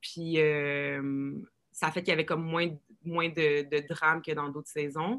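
A woman's very deep, low voice, fairly slow and with fairly even intonation. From Quebec. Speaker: reality show contestant. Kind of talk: casual chat.

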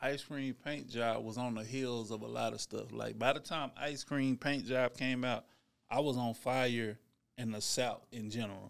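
A man speaks at a moderate pace and medium pitch, with fairly even intonation and an ordinary speaking voice. The recording is very clean, with a silent background. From Dallas, Texas. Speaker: rapper. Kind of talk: casual interview.

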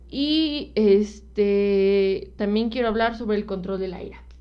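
A woman talks very slowly in a fairly high voice. Her pitch varies in an ordinary way. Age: 20s. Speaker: podcast co-host. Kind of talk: casual chat. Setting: live stream.

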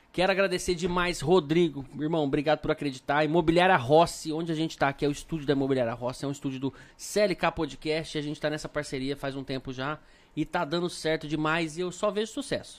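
A man talks at a very fast pace, his fairly high voice holding a fairly even intonation. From Brasília, Brazil. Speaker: podcast host. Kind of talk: casual chat. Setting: studio, live stream.

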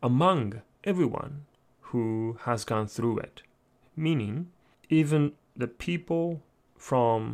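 A man at a medium pitch with a Japanese accent and ordinary pitch variation, on a very clean recording with a silent background. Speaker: lecturer. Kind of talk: lecture. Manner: halting.

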